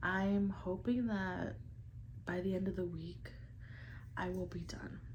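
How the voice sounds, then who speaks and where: Very slow speech from a woman amid audible room echo. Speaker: lifestyle vlogger. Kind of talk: casual vlog talk to camera.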